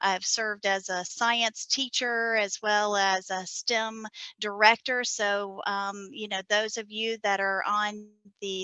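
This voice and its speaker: This woman has a medium pitch, a Southern US accent and a bright, sharp tone. Her delivery is monotone and flat, and the sound is dry and close with no echo. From US South, South Carolina. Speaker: NASA science data coordinator. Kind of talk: conference presentation.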